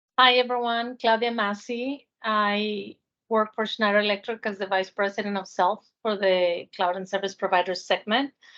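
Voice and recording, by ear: A woman speaks with a fairly bright tone. Her pitch moves very little. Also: medium pitch for a woman, moderate pace.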